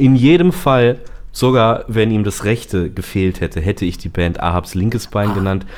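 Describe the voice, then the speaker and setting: A man's fairly low voice at a moderate pace, with lively intonation. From northern Germany (Bremen). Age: 30s. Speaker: singer and songwriter. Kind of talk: interview. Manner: hesitant, many fillers.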